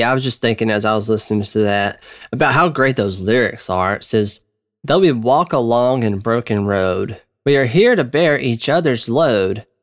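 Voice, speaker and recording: Speaking at a moderate pace with lively intonation and a medium pitch, a man with a Southern US accent comes through on a very clean recording with a silent background. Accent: Southern American. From US South, Georgia. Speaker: podcast host. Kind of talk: casual commentary. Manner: conversational, filler-heavy.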